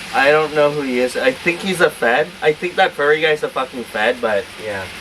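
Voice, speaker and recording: Noticeable background noise runs under talking that keeps a moderate speed. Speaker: cooking vlogger. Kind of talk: cooking tutorial. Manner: casual, filler-heavy.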